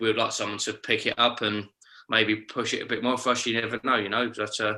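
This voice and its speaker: On a very clean recording with a silent background, a man with a London accent talks at a fairly quick pace in a fairly low pitch, his bright, sharp tone set in monotone, flat intonation. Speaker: band member. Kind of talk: casual interview.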